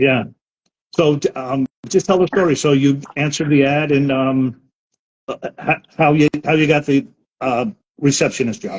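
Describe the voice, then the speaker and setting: A man with a New York accent, fairly high in pitch with ordinary pitch variation, at a moderate pace marked by long, frequent pauses. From Brooklyn, New York. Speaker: live stream host. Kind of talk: interview.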